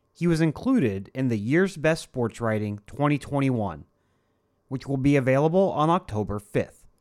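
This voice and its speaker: A man with an American accent and a normal speaking voice, medium in pitch, at a moderate pace with lively intonation. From Ohio. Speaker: podcast host. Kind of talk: scripted narration; interview. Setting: video call.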